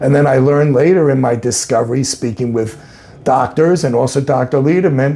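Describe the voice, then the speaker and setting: This man has an ordinary speaking voice at a moderate pace. His pitch varies in an ordinary way. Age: 60s. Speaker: cancer patient giving testimonial. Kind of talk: testimony.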